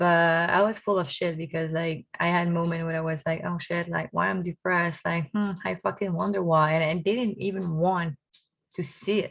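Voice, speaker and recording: Recorded very clean with a silent background, a woman talks in a Quebec accent at a moderate pace, fairly low pitch, and ordinary pitch variation. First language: French. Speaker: vlogger. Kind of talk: personal vlog monologue. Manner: casual, animated.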